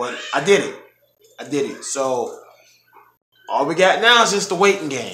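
Swinging very widely in pitch, a man talks at a moderate pace with audible room echo. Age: 30s. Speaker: vlogger preparing for weight loss surgery. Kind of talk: casual vlog update. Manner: hesitant, many filler ums. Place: home room.

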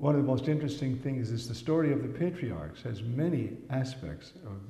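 With audible room echo, a man talks at a moderate pace in a dark, mellow, somewhat breathy tone with ordinary pitch variation. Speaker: priest lecturer. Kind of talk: lecture. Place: home room. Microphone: podium.

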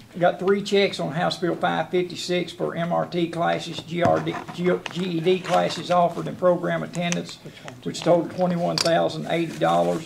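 A man speaks very slowly with a Southern US accent. Noticeable background noise runs underneath. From US South. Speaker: jailer. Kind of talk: report to county board. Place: meeting room.

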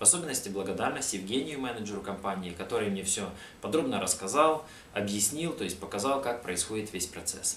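A man speaks very fast at a fairly low pitch, his intonation lively. Light background noise and audible room echo fill the recording. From Ukraine. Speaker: customer giving a testimonial. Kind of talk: customer testimonial. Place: home room.

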